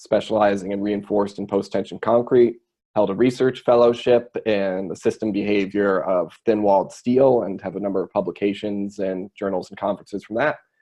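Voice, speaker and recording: This man talks at a fairly quick pace with an American accent and a fairly low pitch. His loudness swings widely while his pitch varies in an ordinary way. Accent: American accent, noticeable in Australia. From United States. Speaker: structural engineer. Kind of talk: webinar presentation. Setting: online webinar.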